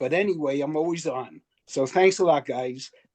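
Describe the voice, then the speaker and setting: Fairly high-pitched with ordinary pitch variation, a man speaks in a Brooklyn accent at a moderate pace. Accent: New York, Brooklyn. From Brooklyn, New York. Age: 80s+. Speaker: listener, baseball fan. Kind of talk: casual remarks on video call. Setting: video call.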